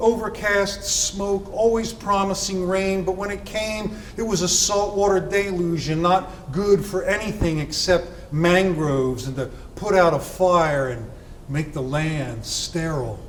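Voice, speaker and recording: Over noticeable background noise, a man talks fairly slowly in a high voice with ordinary pitch variation. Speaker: poet. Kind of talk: poetry reading.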